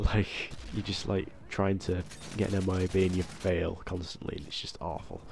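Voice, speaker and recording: Over noticeable background noise, a man speaks with a very deep, low pitch and fairly even intonation. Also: moderate pace. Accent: British. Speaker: gaming commentator. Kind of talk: gameplay commentary.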